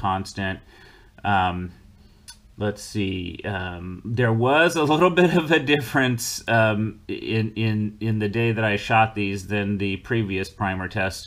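This man's pitch is fairly low. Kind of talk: explanatory commentary. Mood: relaxed, occasional laughs. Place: home room.

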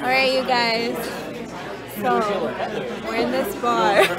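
A woman at a very slow pace, dry sound with no echo, and crowd noise in the background. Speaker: vlogger. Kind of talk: casual vlog chat. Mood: excited, amused. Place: bar. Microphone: phone near.

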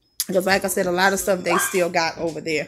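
This is a woman speaking. Noticeable background noise runs behind her. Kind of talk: casual vlog chat. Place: home room. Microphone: phone near.

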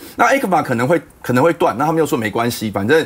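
This man's pitch is fairly high. He speaks at a very fast pace. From Taiwan. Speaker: politician, panel guest; politician, guest. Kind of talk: political talk show panel discussion. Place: studio. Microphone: lapel.

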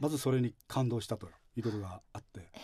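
The man's voice is somewhat breathy. He talks at a fairly quick pace with lively intonation. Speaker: religious facility director; guest. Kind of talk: radio interview. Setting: studio. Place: studio.

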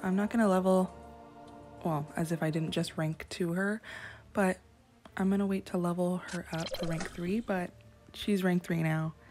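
A woman with a fairly low voice talks at a moderate pace, with music in the background. She takes long, frequent pauses. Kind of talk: casual gaming commentary. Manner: excited, animated.

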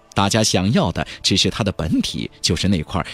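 Faint music plays behind a man who talks at a moderate pace with big pitch swings and a slightly husky edge.

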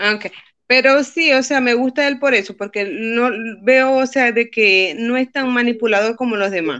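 Her high, bright, sharp voice carries at a fairly slow pace with ordinary pitch variation as a woman speaks in a quiet background. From Venezuela. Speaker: viewer joining live stream; guest. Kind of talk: casual chat. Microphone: video call.

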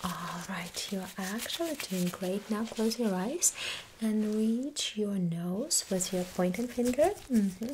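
Soft-spoken and gentle in tone, a woman talks at a very slow pace. Noticeable background noise can be heard. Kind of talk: roleplay exam instructions. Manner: soft-spoken, gentle ASMR voice. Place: home room. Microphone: studio mic.

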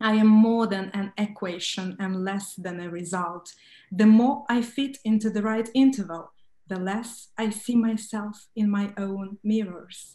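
Speaking at a fairly slow pace with a Romanian accent, a woman has a dark, mellow tone, somewhat breathy and with fairly even intonation, in a quiet background with audible room echo. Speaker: writer. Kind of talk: panel discussion. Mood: calm, reflective. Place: home room. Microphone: webcam.

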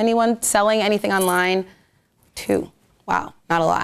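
The background stays quiet while a woman talks. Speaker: social media marketing speaker; speaker. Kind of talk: presentation to a live audience. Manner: fast. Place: meeting room.

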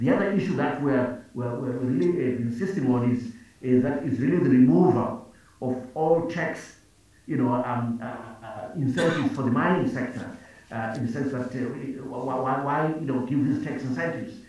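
Strong room echo surrounds a man speaking at a moderate pace. He uses ordinary pitch variation. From Zimbabwe. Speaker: finance minister. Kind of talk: panel discussion. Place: office. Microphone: video call.

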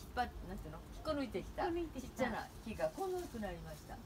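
A woman rattles along at a very fast pace with noticeable noise in the background. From Japan. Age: 70s. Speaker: designer and journalist. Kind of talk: casual conversation showing her balcony garden. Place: garden. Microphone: camera far.

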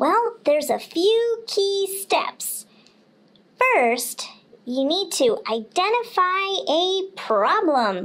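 Using a cartoonish character voice, a woman speaks at a very slow pace in an extremely high pitch. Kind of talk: kids' puppet podcast.

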